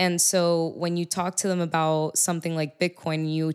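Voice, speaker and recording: At a moderate pace, a woman with an American accent speaks in a flat monotone, in a very clean recording with a silent background. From Miami, Florida. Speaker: music artist and bitcoin advocate. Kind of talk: casual chat. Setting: on location at a venue.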